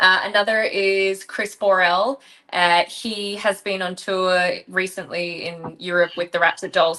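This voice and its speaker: A woman with a bright, sharp tone speaks at a medium pitch and a moderate pace, her intonation monotone and flat. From Australia. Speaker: rock singer and band leader. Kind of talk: interview.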